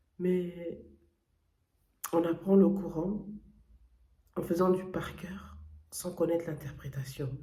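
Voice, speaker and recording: The delivery is very slow, with long, frequent pauses throughout. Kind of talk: testimony. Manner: hesitant, many fillers and self-corrections.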